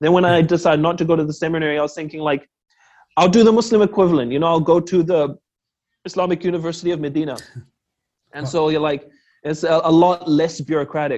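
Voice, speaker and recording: This man talks at a very fast pace in a fairly high pitch, with fairly even intonation. Long pauses break up his speech often. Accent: New Zealand. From New Zealand, Auckland. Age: 20s. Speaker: secondary school teacher. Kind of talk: interview, casual chat.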